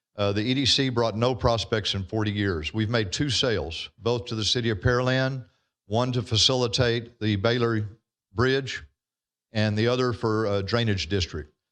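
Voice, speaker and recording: With a Texan accent, a man talks at a moderate pace, his medium pitch showing ordinary variation. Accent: Texas Southern. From Texas. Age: 60s. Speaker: landowner speaking at public hearing. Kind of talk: public comment at council meeting.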